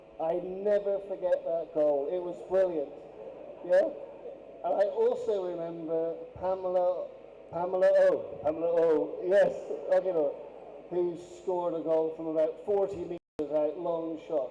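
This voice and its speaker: Amid noticeable background noise, a man speaks with long, frequent pauses. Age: 60s. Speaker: former teacher. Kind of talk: anniversary speech.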